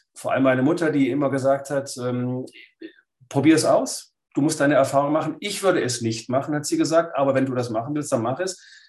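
With a plain, everyday voice, a man talks at a fairly quick pace, his fairly high pitch showing ordinary variation. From Swabia, Lake Constance, Germany. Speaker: writer and philosopher. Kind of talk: interview.

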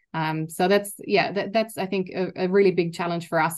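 Over a quiet background, a woman with a fairly low voice speaks at a fairly quick pace. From Germany. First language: German. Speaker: university learning innovation executive. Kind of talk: interview.

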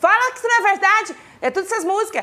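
This woman's tone is animated. She talks very fast. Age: 30s. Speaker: talk show host. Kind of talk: casual interview.

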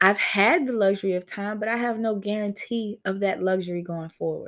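Here is a woman with an ordinary speaking voice at medium pitch. The recording is very clean, with a silent background. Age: 30s. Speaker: podcaster. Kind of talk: casual chat. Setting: livestream.

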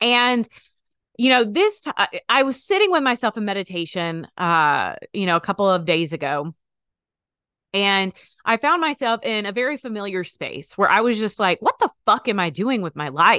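A woman at medium pitch speaks at a moderate pace with very wide pitch swings and a bright, sharp tone. The sound is dry and close with no echo, and the background is quiet. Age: 30s. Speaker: podcast host. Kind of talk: unscripted solo monologue. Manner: casual, stumbling over words.

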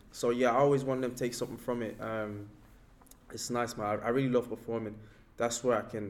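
A man talks at a fairly quick pace, his medium-pitched voice monotone with flat intonation. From Nigeria, moved to Ireland at 14. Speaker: hip hop artist. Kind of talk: interview.

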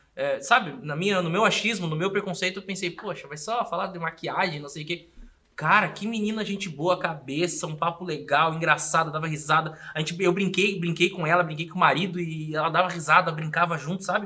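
Over noticeable background noise, a man with a high pitch speaks at a fairly quick pace with hardly any pauses. His intonation stays fairly even while his loudness swings a lot. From Rio Grande do Sul, Brazil (small town). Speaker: comedian and podcaster. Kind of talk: casual chat.

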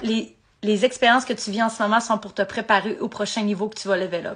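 A woman with a Quebec accent, fairly high in pitch, with fairly even intonation. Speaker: podcaster in addiction recovery. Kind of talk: live motivational talk. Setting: livestream. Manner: casual with English swearing mixed in.

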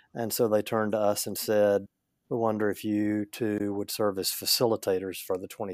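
Recorded very cleanly with a silent background and a dry, close sound with no echo, a man with a Southern US accent speaks at a moderate pace in a fairly low pitch. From US South, northeast Louisiana. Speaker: leadership coach and church consultant. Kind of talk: casual interview.

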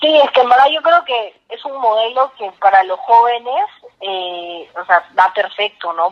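A woman at a moderate pace. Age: 20s. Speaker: young entrepreneur and author. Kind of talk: interview. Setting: phone call.

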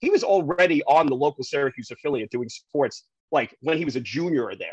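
A man with a New York accent at a fairly quick pace, in a dry, close sound with no echo. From New York City, Queens (early years Staten Island). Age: 50s. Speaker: TV news reporter. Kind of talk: casual interview chat. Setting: remote from home.

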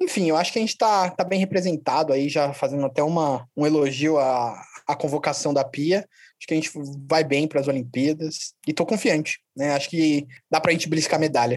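In a very clean recording with a silent background, a man with an ordinary speaking voice talks at a fairly quick pace, his fairly high pitch showing ordinary variation and his loudness very even. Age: 20s. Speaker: podcast co-host, historian. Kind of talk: casual sports podcast chat.

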